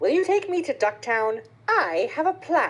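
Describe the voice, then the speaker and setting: A woman does a put-on character voice at an extremely high pitch. Her pitch swings very widely, and her pace is moderate. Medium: read story.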